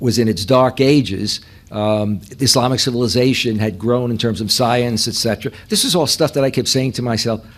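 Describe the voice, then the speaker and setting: This speaker talks at a fairly quick pace in a New York accent with ordinary pitch variation. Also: man. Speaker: professor. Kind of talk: lecture.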